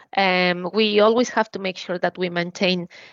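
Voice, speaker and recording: In a Spanish accent, a woman at a medium pitch speaks at a moderate pace with fairly even intonation. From Mexico, Mexico City. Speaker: motorsport engineering manager. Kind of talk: interview.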